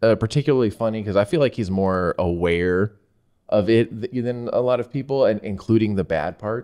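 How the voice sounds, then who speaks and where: The man's tone is dark and mellow. Nothing much is heard behind him. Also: ordinary pitch variation, moderate pace. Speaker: podcast host. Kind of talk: casual podcast chat. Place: studio. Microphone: studio mic.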